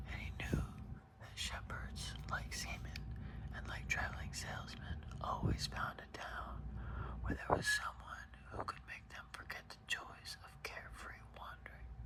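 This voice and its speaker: At a fairly slow pace, a whisper comes through noticeable background noise. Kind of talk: ASMR book reading. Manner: whispered, soft-spoken.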